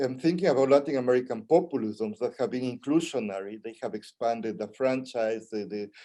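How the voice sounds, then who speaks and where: A man with a medium pitch and a dark, mellow tone talks at a fairly quick pace with ordinary pitch variation and hardly any pauses. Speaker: Latin American studies professor. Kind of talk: panel presentation. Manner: fast.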